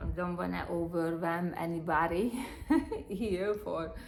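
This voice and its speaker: With a non-native accent, a woman speaks very slowly in a fairly low pitch and fairly even intonation, and audible room echo surrounds her voice. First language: not English. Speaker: spiritual healer. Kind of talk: spiritual talk to a live audience. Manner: halting, many fillers.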